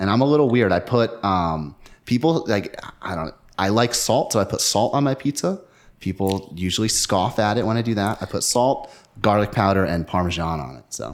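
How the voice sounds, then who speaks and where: With a very clean recording and a silent background, a man with an American accent uses a normal speaking voice, fairly low in pitch, at a moderate pace with lively intonation. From northern New Jersey, US. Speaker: disc dyer and disc golfer. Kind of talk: casual interview.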